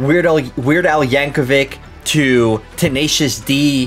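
A man, with faint music in the background. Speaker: reaction video host. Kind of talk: reaction commentary. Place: home room.

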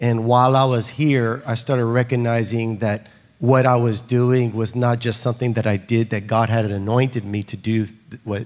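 A man at a moderate pace with monotone, flat intonation. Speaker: guest. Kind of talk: testimony on stage. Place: church. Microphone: handheld.

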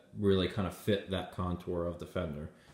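A man's very deep, low voice with a dark, mellow tone and audible room echo. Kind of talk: casual explanatory commentary. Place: garage. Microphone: phone near.

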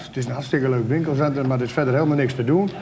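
Speaking with a Drenthe accent, a man uses a fairly high pitch and ordinary pitch variation over light background noise. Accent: Drents dialect. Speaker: local politician. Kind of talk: TV debate. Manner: blunt, outspoken. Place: studio.

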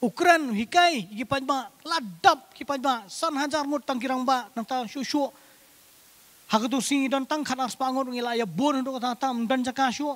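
At a fairly slow pace, a man speaks at an extremely high pitch with ordinary pitch variation. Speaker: preacher. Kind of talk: sermon. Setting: church. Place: church. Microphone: handheld.

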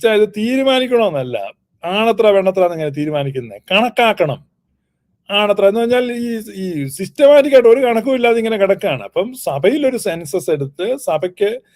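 A man's high voice, animated in tone, moves through very wide pitch swings. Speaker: church commentator. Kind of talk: polemical rebuttal.

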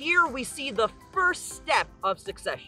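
Faint music plays behind a man whose raised, projected voice moves at a very slow pace, in a dry sound with no echo. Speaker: science teacher. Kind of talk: educational field lecture. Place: beach.

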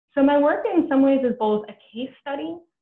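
There is audible room echo around a woman with an American accent. Her intonation is lively. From New York City (Brooklyn). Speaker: history professor. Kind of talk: lecture. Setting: video call. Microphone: webcam.

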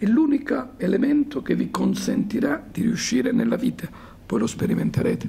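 Loudness stays very even as a man speaks at a moderate pace. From Calabria, Decollatura area; Calabria. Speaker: university professor and club president; university professor. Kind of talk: lecture to students. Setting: school conference hall with audience. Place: hall. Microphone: handheld.

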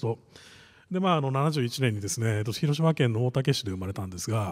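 A man speaks at a fairly quick pace with lively intonation. His voice is somewhat breathy, and the background is quiet. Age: 40s. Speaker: venture capitalist; conference keynote speaker. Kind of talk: panel presentation. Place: hall. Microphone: podium.

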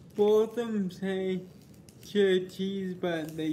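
Fairly even intonation at a very slow pace, with light background noise. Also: man. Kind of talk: casual vlog chat. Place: home room. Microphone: phone near.

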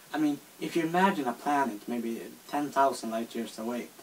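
Speaking with a Swedish accent, a man keeps a moderate pace and lively intonation against light background noise. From Sweden. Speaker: video responder. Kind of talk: casual talk to camera. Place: home room. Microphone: phone near.

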